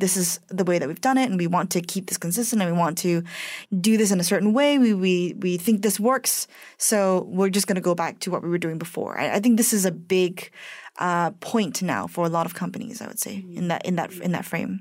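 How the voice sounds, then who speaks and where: A woman talks in a normal speaking voice at a medium pitch with ordinary pitch variation and a fairly quick pace. The recording is very clean, with a silent background. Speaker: radio host. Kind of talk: radio interview.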